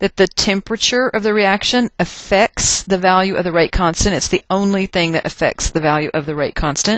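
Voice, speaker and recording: In a Texas accent, a woman speaks at a fairly quick pace. Her pitch is medium, with ordinary variation. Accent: Texas twang. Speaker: chemistry teacher. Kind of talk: recorded lecture. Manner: casual, conversational.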